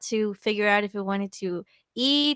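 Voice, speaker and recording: Recorded very cleanly over a silent background, a woman with a Spanish accent speaks in a dry, close sound with no echo. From El Salvador. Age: 20s. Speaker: PhD student. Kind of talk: casual interview chat.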